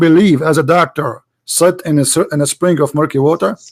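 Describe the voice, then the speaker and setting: A man with an Arabic accent talks at a very fast pace, with a dry, close sound and no echo. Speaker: debate host. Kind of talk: heated debate. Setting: Skype call. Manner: animated, interrupting.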